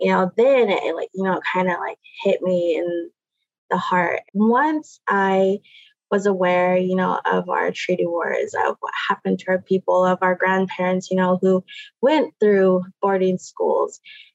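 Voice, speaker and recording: A fairly slow pace in an American accent, with a dry, close sound and no echo. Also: woman. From Puget Sound, Washington (Muckleshoot). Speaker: Native language teacher. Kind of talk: interview.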